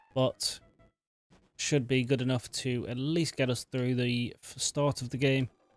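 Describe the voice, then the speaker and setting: A man speaks quietly at a fairly slow pace and medium pitch. The sound is dry and close, with no echo. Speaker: gaming streamer. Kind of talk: let's play commentary. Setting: at home at night. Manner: not animated.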